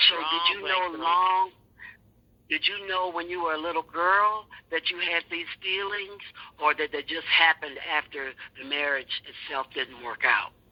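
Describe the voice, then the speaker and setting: Here a woman speaks at a fairly slow pace in an unremarkable speaking voice. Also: fairly low pitch for a woman, ordinary pitch variation. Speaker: podcast host and interviewer. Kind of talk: interview questions.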